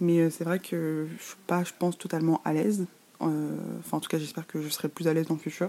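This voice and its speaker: Very fast and monotone, a woman with a dark, mellow tone speaks with big swings in loudness. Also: fairly low pitch for a woman. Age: 20s. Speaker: podcast host. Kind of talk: casual monologue. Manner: halting, with fillers.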